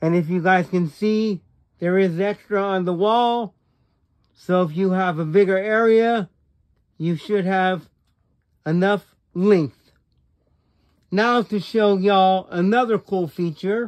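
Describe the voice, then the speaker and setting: Against a quiet background, a man with a high pitch speaks at a very slow pace. He leaves long, frequent pauses and keeps his intonation fairly even. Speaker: gaming YouTuber. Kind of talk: casual video review and product demo. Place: home room. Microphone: phone near.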